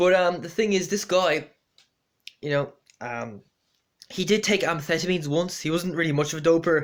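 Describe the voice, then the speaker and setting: A man with an Irish accent and a high pitch speaks at a moderate pace with ordinary pitch variation and long, frequent pauses, on a very clean recording with a silent background. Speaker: amateur runner vlogger. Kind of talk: casual vlog monologue. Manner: halting, many fillers.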